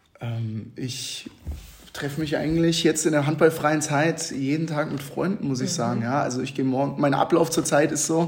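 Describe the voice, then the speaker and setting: With a normal speaking voice, a man talks at a fairly high pitch and moderate pace, with ordinary pitch variation. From Hesse, Babenhausen near Aschaffenburg. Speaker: handball goalkeeper. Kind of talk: interview.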